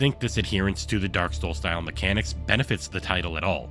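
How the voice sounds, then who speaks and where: The pitch swings very widely, with music playing in the background. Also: man. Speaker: game reviewer. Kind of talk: video game review narration.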